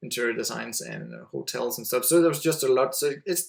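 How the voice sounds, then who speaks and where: With a Danish accent, a man speaks at a fairly quick pace. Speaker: website entrepreneur. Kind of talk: podcast interview. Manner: halting.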